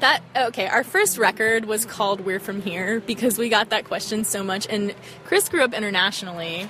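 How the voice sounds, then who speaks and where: At a moderate pace and medium pitch, a woman with an American accent keeps her intonation fairly even over noticeable background noise. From US South, Arkansas. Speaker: touring musician. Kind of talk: casual chat. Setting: outdoors.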